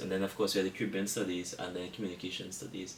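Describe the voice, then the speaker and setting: Speaking at a very fast pace, a man with a fairly low pitch has a bright, sharp tone, with audible room echo in the recording. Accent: Trinidadian. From Trinidad and Tobago. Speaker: engineering student. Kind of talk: casual interview chat.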